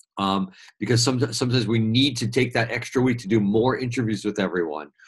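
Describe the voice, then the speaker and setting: A man speaks in an American accent at a medium pitch. His voice is somewhat breathy, with ordinary pitch variation. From New York City. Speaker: media trainer. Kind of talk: webinar presentation. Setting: live webinar. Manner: fast.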